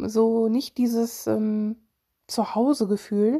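Recorded with a dry, close sound and no echo, a woman's voice sits fairly high in pitch with a dark, mellow tone. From Germany, Solingen (Rhineland). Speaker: podcaster and mental health blogger. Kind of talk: casual personal monologue. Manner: hesitant, many fillers.

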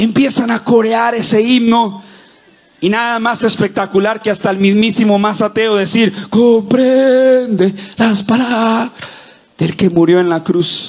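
Speaking at a fairly slow pace, a man uses an animated tone and a high pitch. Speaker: pastor. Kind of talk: sermon. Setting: church with live audience. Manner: fervent, rallying preacher voice, rising with call-and-response; animated, cadenced declarations with crowd prompts.

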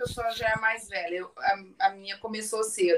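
A woman's fairly high voice in a southern Brazilian accent, at a moderate pace. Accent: gaúcho accent, noticeable. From Rio Grande do Sul, southern Brazil. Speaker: businesswoman and surfer. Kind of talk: casual chat.

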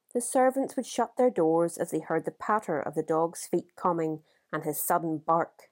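A plain, everyday voice from a woman, fairly low in pitch with lively intonation, moderate pace, and a dry, close sound with no echo. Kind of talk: audiobook reading of a literary short story.

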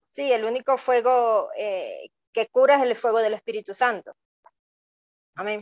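A woman speaks in a Venezuelan accent. Her pace is fairly slow. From Venezuela, Maracaibo, Zulia. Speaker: migrant guest. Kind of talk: testimony.

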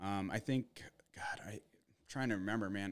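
An ordinary speaking voice from a man with an American accent, fairly low in pitch, at a fairly quick pace. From Arizona, US. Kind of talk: casual chat. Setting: home studio.

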